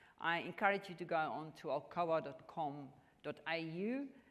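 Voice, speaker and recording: Speaking at a fairly slow pace, a woman with a strong South African accent uses a fairly low pitch and ordinary pitch variation. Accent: strong South African Afrikaans. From South Africa, rural farm. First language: Afrikaans. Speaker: mining company executive. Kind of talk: onstage interview. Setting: stage at business luncheon with audience. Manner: halting, with many fillers.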